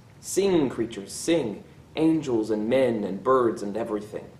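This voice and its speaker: There is audible room echo as a man talks at a fairly slow pace. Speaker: teacher. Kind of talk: poetry reading then commentary. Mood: warm, cheerful. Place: classroom. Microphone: phone near.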